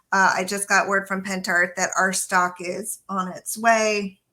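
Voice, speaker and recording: A woman with an American accent, medium in pitch, with a bright, sharp tone and monotone, flat intonation. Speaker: craft demonstrator. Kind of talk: live craft tutorial. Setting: live stream video.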